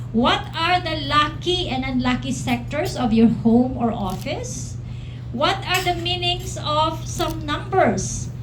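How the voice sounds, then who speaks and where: A very slow woman's voice, with audible room echo and noticeable background noise. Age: 50s. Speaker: feng shui consultant. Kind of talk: promotional talk.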